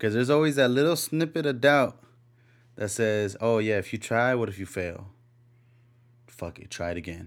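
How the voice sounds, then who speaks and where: A mumbling man at medium pitch with lively intonation, a moderate pace and long, frequent pauses, on a very clean recording with a silent background. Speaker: podcast host. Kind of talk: solo monologue. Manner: mumbly; laid back.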